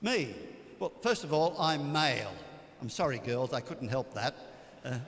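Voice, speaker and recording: With an Australian accent, a man speaks at a moderate pace in a fairly high pitch and with lively intonation. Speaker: priest. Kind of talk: retreat talk. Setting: church.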